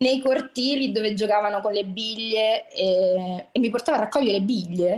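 A woman's fairly high voice at a moderate pace, hardly any pauses and very even loudness, with music in the background. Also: ordinary pitch variation. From Rome, Italy (working-class neighbourhood). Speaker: podcast guest. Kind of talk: casual chat.

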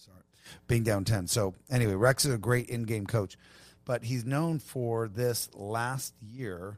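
A man with an American accent and an ordinary speaking voice talks at a fairly slow pace, with medium pitch and ordinary pitch variation. His loudness swings widely, and the recording is very clean with a silent background. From Long Beach, California. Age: 40s. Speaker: tequila brand owner. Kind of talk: casual chat.

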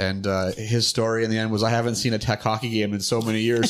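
A man speaks at a very fast pace and a medium pitch. His intonation stays fairly even. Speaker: podcast co-host. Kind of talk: casual interview. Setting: at guest's home.

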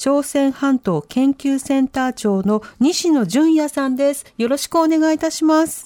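A woman's high, dark, mellow voice with ordinary pitch variation at a fairly slow pace, recorded dry and close with no echo. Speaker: radio announcer, co-host. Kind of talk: news reading and guest introductions. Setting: radio studio. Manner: formal.

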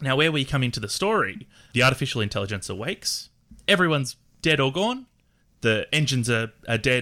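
A man talks at a fairly quick pace. He has an Australian accent. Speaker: game designer and player. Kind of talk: tabletop roleplaying game session.

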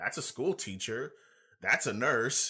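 A man speaks at a fairly slow pace with an American accent. His tone is bright and sharp, on a very clean recording with a silent background. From California. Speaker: military recruiter and fitness figure. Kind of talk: casual interview. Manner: halting, repetitive.

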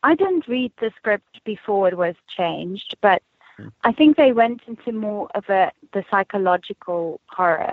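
Slowing to a fairly slow pace, a woman with a South African accent and a fairly high pitch lets her pitch swing very widely. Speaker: actress. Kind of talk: casual interview.

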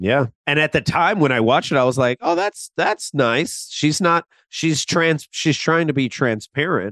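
A man speaks at a moderate pace in an ordinary speaking voice, with a fairly high pitch and lively intonation. He takes hardly any pauses, and the sound is dry and close with no echo. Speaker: podcast co-host. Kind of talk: casual chat.

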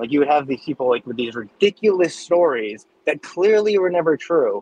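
A man with an American accent at a moderate pace, in a dry, close sound with no echo. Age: 30s. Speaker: podcast listener and fan. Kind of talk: casual chat. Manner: halting.

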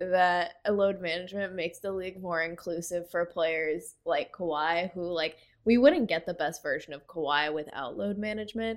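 A woman has an ordinary speaking voice at medium pitch and a moderate pace. The recording is very clean, with a silent background. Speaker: co-host, sports commentator. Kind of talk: casual sports chat.

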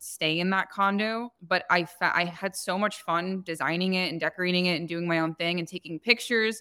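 With an American accent, a woman in a normal speaking voice talks at a medium pitch and a fairly quick pace. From New Jersey, US. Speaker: short-term rental business owner. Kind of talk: podcast interview.

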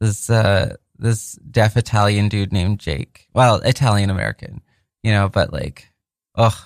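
A man's unremarkable speaking voice, fairly low in pitch with ordinary pitch variation, at a fairly slow pace, in a very clean recording with a silent background and a dry, close sound with no echo. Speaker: radio host. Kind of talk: radio DJ patter: chatty, profane, bantering between songs on a community radio show. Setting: radio studio.

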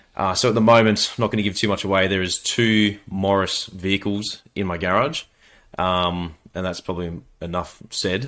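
A man speaks in a very deep, low voice with fairly even intonation. The recording is very clean, with a silent background. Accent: Australian. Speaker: mechanic and YouTuber. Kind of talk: casual chat.

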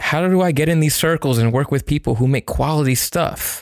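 An unremarkable speaking voice from a man, fairly high in pitch. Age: 30s. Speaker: freelance videographer. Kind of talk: casual chat.

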